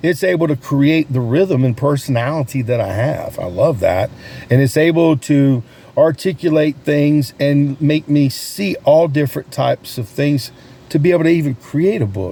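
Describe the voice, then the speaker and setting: Noticeable background noise sits behind a man with a fairly high pitch and an animated tone. He keeps to a moderate pace with ordinary pitch variation. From US South, North Carolina. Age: 60s. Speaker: sales coach and realtor vlogger. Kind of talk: casual vlog talk.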